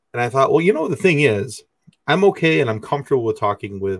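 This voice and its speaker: Very fast, somewhat breathy speech with lively intonation, in a very clean recording with a silent background. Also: man. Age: 40s. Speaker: podcast host. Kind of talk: casual interview. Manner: halting, many fillers.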